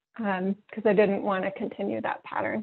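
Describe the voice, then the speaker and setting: A woman speaks with a West Coast American accent. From northern California. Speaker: workbook co-author and facilitator. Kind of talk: workshop introduction.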